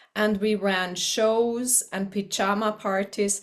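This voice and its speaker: A woman with a German accent, medium pitch and fairly even intonation, on a very clean recording with a silent background. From eastern Switzerland. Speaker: teacher. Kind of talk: personal introduction to camera.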